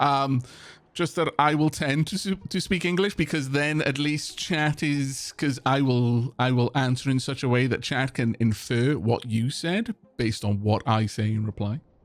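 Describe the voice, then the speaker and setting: A man with a South Welsh accent speaks with lively intonation. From South Wales (Senghenydd, Caerphilly area). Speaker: streamer playing video games. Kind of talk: live game stream chat. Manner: halting, many repeated words.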